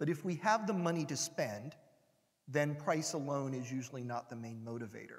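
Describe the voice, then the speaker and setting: A man with an American accent and a plain, everyday voice speaks at a moderate pace and a fairly high pitch, with ordinary pitch variation. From United States. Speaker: industry analyst. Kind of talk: conference talk. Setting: stage with audience.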